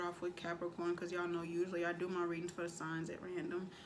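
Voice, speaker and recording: A woman is speaking over noticeable background noise. The room echo is audible. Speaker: tarot reader. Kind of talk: tarot reading. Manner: casual, slangy.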